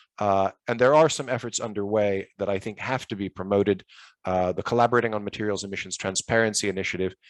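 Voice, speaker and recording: Dry and close with no echo over a quiet background, a man talks very fast at a fairly low pitch with ordinary pitch variation. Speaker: policy expert panelist. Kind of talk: panel presentation.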